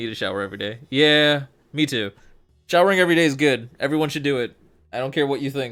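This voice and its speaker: The speech comes at a very fast pace with ordinary pitch variation, recorded very cleanly against a silent background. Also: man, fairly high pitch for a man. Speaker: fighting game stream commentator. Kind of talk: casual stream chat. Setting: live stream from home. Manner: stumbles over words, stuttering. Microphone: new HyperX Quadcast mic, very clear.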